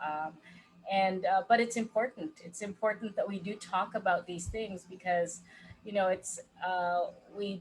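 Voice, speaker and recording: At a moderate pace, a woman speaks in a somewhat breathy voice of medium pitch with fairly even intonation. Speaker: life coach. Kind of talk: casual chat.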